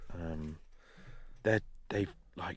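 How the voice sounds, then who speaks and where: The recording of this man is very clean with a silent background, the sound dry and close with no echo. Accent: English. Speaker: podcast co-host. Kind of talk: casual chat. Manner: loud.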